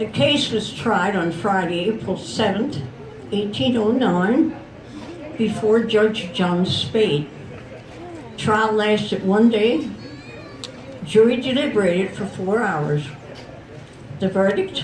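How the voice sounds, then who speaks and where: With an American accent, a woman at a medium pitch talks very slowly with lively intonation and long, frequent pauses, over noticeable background noise. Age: 80s+. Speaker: festival storyteller. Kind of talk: historical storytelling to a live audience. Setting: outdoors.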